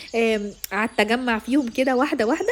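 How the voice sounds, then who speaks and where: A woman talks with a high pitch and ordinary pitch variation at a fairly quick pace. Noticeable background noise is present. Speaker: vlogger. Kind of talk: casual vlog talk to camera.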